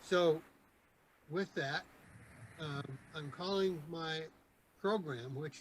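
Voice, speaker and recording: This somewhat breathy voice has a Michigan accent and a fairly slow pace. Pitch variation is ordinary. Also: man. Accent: Midwestern American (Michigan). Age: 70s. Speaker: Rotary club member. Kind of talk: club meeting presentation. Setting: video call.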